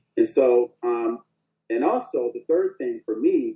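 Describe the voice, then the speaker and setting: The recording has a dry, close sound with no echo. A man talks in an American accent. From US East Coast, Washington DC. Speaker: aspiring storyboard artist, mentorship student. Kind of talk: testimonial interview. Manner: hesitant with many fillers.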